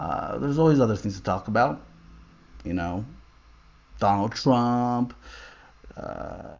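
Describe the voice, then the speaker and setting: Man at a fairly slow pace, medium in pitch, with lively intonation and long, frequent pauses. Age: 30s. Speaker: livestream host. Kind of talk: personal monologue on a livestream. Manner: halting, with many repetitions.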